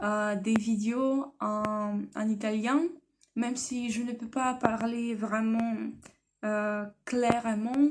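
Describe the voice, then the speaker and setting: In a Russian accent, a woman talks at a very slow pace. Her pitch is fairly high. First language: Russian (speaking French). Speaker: language learner vlogger. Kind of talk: personal vlog. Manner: halting, many hesitations.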